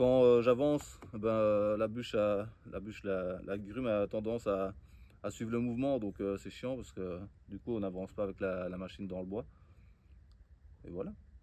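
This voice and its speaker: A man with a fairly low pitch and a dark, mellow tone, at a moderate pace with ordinary pitch variation and long, frequent pauses. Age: 30s. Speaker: woodworking and permaculture vlogger. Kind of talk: casual outdoor tutorial vlog. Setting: outdoors. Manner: hesitant, many fillers.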